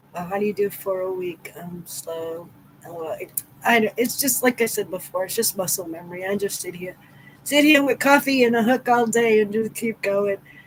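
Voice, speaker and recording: With an American accent, a woman speaks at a moderate pace and medium pitch, using ordinary pitch variation and big swings in loudness. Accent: New England accent, noticed by others. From Massachusetts. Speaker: crochet livestreamer. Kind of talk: casual live stream chat. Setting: live stream.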